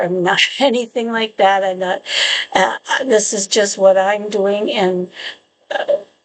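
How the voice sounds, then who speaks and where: A woman speaks at a fairly slow pace. Her pitch is medium and her intonation fairly even. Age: 60s. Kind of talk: casual talk to camera. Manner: hesitant, chatty.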